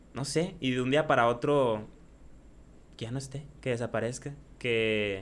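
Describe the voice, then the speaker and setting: A man with a medium pitch and ordinary pitch variation talks very slowly. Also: long, frequent pauses. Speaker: streamer and YouTuber. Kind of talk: casual chat. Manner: loud.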